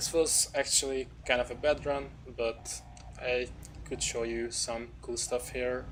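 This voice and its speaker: A man with a non-native accent at a fairly slow pace. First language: not English. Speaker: speedrunner. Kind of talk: gameplay commentary. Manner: halting.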